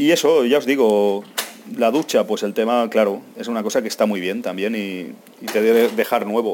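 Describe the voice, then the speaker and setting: Here a man speaks at a medium pitch. His pace is moderate, with ordinary pitch variation. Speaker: travel podcaster. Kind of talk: casual monologue. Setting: airport.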